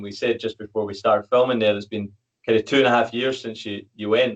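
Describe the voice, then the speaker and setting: In a Scottish accent, a man talks at a very fast pace. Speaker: podcast host and fitness coach. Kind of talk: podcast interview.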